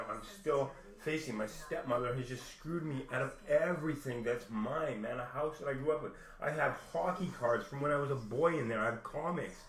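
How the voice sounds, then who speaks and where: Over noticeable background noise and audible room echo, a man talks at a fairly quick pace with a fairly high pitch and ordinary pitch variation. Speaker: vlogger. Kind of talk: personal rant. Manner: halting.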